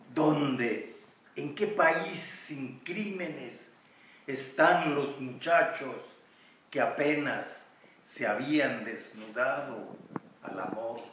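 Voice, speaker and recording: Amid audible room echo and light background noise, a man with a fairly high pitch speaks at a very slow pace, with long, frequent pauses. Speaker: poet. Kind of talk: poem performed, solemn reading aloud of a protest elegy. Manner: slow, grave, measured delivery with mournful pauses; insistent, incantatory repetition of the refrain question. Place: garden. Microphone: camera far.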